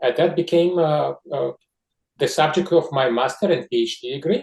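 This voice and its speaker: A man talks with a Russian accent at a moderate pace. His voice is somewhat breathy, with ordinary pitch variation. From Georgia. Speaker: scientist. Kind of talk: interview. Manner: halting.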